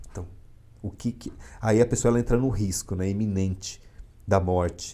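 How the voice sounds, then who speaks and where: The man's voice sits fairly low in pitch and has a dark, mellow tone. His intonation stays fairly even. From São Paulo, east zone (São Miguel Paulista). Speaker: psychologist and military police officer. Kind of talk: interview on a live podcast.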